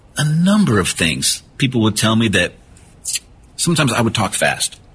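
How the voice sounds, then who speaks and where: With very wide pitch swings yet very even loudness, a man speaks at a medium pitch. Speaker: retired police officer and suicide prevention speaker. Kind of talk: interview. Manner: naturally fast talker.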